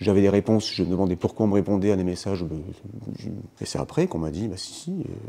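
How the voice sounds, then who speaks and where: Very deep and low, a man's voice with a dark, mellow tone moves at a fairly quick pace with ordinary pitch variation. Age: 50s. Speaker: heart transplant patient, math teacher. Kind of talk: testimony. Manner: hesitant, many fillers.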